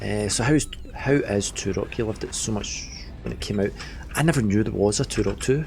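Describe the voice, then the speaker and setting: A man's voice over noticeable background noise. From Scotland. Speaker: game streamer. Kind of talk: live gameplay stream commentary. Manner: animated.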